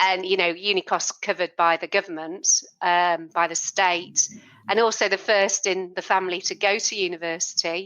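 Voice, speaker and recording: A woman in a British accent with monotone, flat intonation. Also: medium pitch for a woman, moderate pace. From UK, not Liverpool. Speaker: podcast host. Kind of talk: interview.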